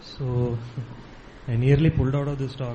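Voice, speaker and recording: A man talks at medium pitch, keeping a moderate pace. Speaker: Vedanta student. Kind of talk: spiritual talk. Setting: ashram hall.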